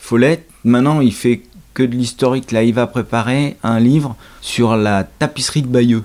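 A man talks in a normal speaking voice at medium pitch with fairly even intonation. His loudness stays very even. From Normandy, France. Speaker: host's father, reader. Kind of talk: casual chat.

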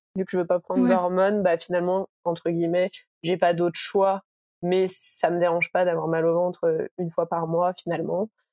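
In a dry, close recording with no echo, a woman speaks at medium pitch with monotone, flat intonation. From Île-de-France, near Paris. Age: 20s. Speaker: interviewee sharing personal health experience. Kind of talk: casual chat. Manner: hesitant, many fillers.

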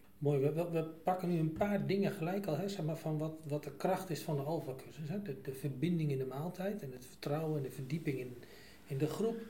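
Speaking at a fairly quick pace, a man with a plain, everyday voice sits fairly high in pitch and shows ordinary pitch variation. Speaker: church podcast host. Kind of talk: casual chat. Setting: studio.

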